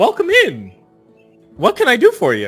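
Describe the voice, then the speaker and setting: A man does a squeaky, put-on character voice at a moderate pace, with faint music in the background. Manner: friendly, welcoming.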